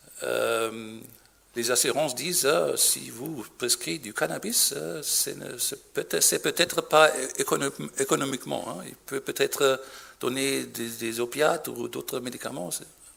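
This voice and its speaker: Speaking at a fairly slow pace with a German accent, a man's voice shows big swings in loudness. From Germany. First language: German (speaking French). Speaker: physician. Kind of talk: conference talk. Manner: halting.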